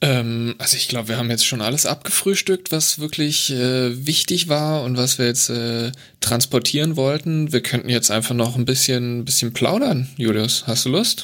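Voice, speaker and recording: A man with a medium pitch varies it in an ordinary way while talking at a moderate pace. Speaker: podcast host, transport planner. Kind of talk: casual chat.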